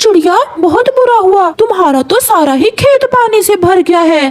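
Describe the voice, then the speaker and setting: Extremely high in pitch, the voice is a cartoonish character voice. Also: moderate pace. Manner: warm, reassuring.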